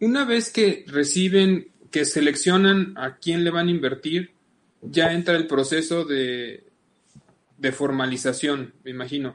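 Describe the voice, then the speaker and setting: A man talks fairly slowly in a fairly high pitch that varies in an ordinary way. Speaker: podcast host. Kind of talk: interview.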